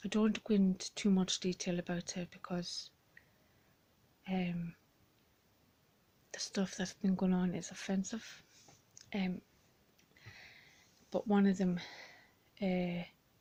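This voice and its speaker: Somewhat breathy and monotone, a woman of medium pitch speaks at a fairly slow pace with long, frequent pauses. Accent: Irish. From Ireland. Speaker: blind vlogger. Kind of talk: personal vlog. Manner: halting, many fillers.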